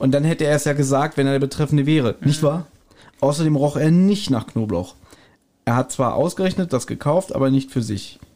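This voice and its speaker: A man's fairly high voice with a dark, mellow tone at a fairly quick pace. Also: ordinary pitch variation. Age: 40s. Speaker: podcast co-host. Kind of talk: casual chat.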